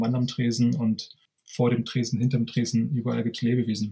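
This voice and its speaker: Speaking at a moderate pace, a man's somewhat breathy voice sits at a medium pitch with monotone, flat intonation. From East Berlin, Germany. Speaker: bartender. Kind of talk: casual interview.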